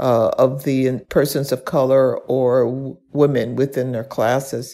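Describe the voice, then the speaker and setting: In an American accent, a woman speaks very slowly at a very deep, low pitch, her dark, mellow tone held in monotone, flat intonation. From US South, Birmingham, Alabama. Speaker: science policy director. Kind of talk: interview.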